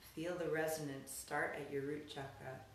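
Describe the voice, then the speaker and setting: A woman with an American accent speaks at a fairly slow pace, her very deep, low pitch paired with fairly even intonation. Audible room echo and light background noise are present. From Colorado, US. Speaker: yoga and meditation teacher. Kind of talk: guided meditation. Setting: online class to a live video audience. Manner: slow, calm, soothing, with long pauses; gentle, soft-spoken. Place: home room. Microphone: phone near.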